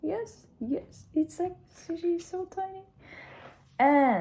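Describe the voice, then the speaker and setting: A woman with a Russian accent speaks with very wide swings in pitch. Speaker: language student. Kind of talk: casual video diary. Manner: halting.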